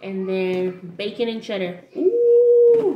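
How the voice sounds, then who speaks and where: A woman speaks at a very slow pace. Noticeable background noise can be heard. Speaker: snack reviewer vlogger. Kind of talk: casual vlog chat. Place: kitchen. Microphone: webcam.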